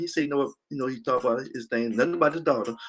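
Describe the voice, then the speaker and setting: With music in the background, a man with an American accent speaks at a very fast pace. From Louisiana. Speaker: former arena football player, podcast host. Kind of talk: casual storytelling monologue. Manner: repetitive, halting restarts.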